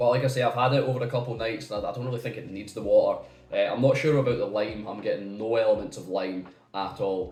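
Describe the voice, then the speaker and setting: Very fast speech from a man at medium pitch, fairly even in intonation but with big swings in loudness, plus noticeable background noise and audible room echo. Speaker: whisky reviewer. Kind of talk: product review. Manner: halting.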